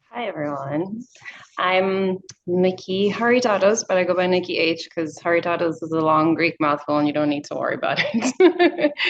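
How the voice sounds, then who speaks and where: Noticeable background noise sits behind a woman with an American accent. Her intonation is lively. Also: medium pitch for a woman, moderate pace. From South Africa. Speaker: creativity coach and dancer. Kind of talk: casual group introduction.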